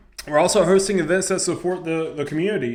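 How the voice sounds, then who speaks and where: A man talks at a very fast pace with an American accent. The room echo is audible, and there is noticeable background noise. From US South. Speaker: high school head football coach. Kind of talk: coaching advice vlog. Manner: casual, conversational.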